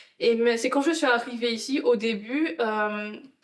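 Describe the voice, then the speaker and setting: With audible room echo, a woman in a strong Antillean accent speaks at a fairly slow pace and a fairly high pitch. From Guadeloupe. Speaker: interview guest, project manager. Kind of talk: testimony interview.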